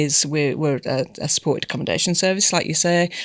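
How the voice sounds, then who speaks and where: In a British accent, a woman speaks with a dry, close sound and no echo. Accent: broad British. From England. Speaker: community service manager. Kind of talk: podcast interview. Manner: halting, many fillers.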